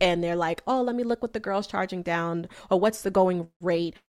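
Talking at medium pitch and a moderate pace, this woman has an unremarkable speaking voice. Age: 30s. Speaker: business coach. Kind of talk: interview.

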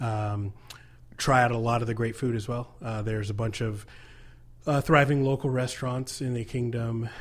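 A man speaks in a plain, everyday voice with an American accent, at medium pitch, a moderate pace and fairly even intonation. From US. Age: 30s. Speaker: nonprofit co-founder, military veteran. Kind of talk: interview. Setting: studio.

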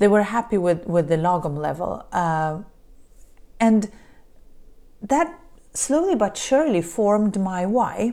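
Dark, mellow tone in a Polish accent, with very wide pitch swings, a fairly slow pace and long, frequent pauses, on a very clean recording with a silent background. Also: woman, medium pitch for a woman. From Poland. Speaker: podcast host, business coach. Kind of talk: solo monologue podcast. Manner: halting, frequent repetitions.

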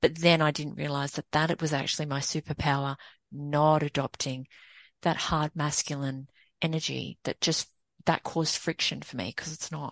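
Against a quiet background, a woman with an Australian accent speaks in a very deep, low voice with flat, monotone intonation, the sound dry and close with no echo. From Sydney, Australia. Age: 40s. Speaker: women's empowerment coach and consultant. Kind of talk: casual interview.

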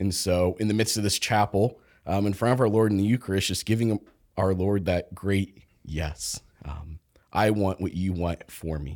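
A man with an American accent and fairly low pitch, ordinary pitch variation at a moderate pace, in a dry, close sound with no echo on a very clean recording with a silent background. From Kansas, US Midwest. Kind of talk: casual chat.

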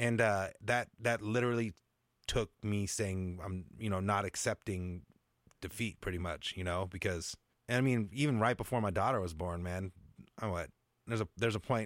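A man with an American accent speaks at a moderate pace in a fairly low pitch, an ordinary speaking voice captured dry and close with no echo on a very clean recording against a silent background. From US Pacific Northwest, Seattle suburbs. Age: 40s. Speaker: music producer. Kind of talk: casual interview.

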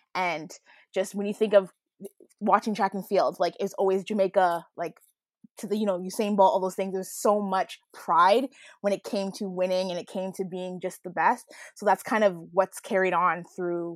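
In an ordinary speaking voice, a woman with a Canadian accent talks at a medium pitch with fairly even intonation. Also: moderate pace. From Canada. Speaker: former athlete. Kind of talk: casual chat.

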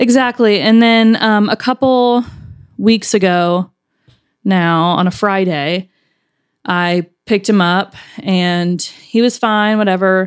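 At a very slow pace with long, frequent pauses, a woman speaks at a medium pitch with ordinary pitch variation and very even loudness on a very clean recording with a silent background. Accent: Southern US. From Alabama. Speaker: podcast producer. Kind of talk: casual chat.

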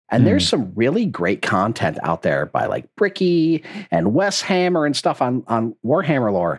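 A man at a moderate pace, medium-pitched with vocal fry and very wide pitch swings, in a very clean recording with a silent background. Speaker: podcast co-host. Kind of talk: casual interview.

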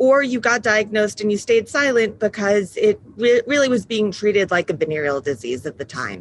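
A woman with an American accent speaks in a plain, everyday voice, at a moderate pace and a medium pitch. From New York. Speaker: patient advocacy founder. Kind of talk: interview.

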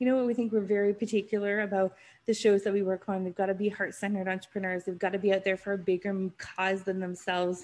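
At a very fast pace with hardly any pauses, a woman speaks at a medium pitch in a monotone, flat intonation. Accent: western Canadian. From Canada, North Vancouver. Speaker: podcast producer, business owner. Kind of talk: casual interview chat.

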